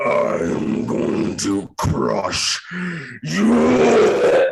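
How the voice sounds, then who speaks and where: A man puts on a guttural character voice. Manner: menacing.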